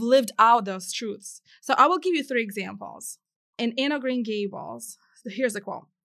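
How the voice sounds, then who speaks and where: In an American accent, a woman speaks with a bright, sharp tone and ordinary pitch variation. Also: quiet background. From Ukraine and Massachusetts. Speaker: author and blogger. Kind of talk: casual chat.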